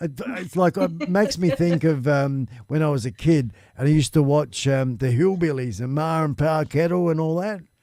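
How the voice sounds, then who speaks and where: Lively intonation at a moderate pace, with a dark, mellow tone and an Australian accent, in a very clean recording against a silent background. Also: man. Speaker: live stream talk show host. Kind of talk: casual chat.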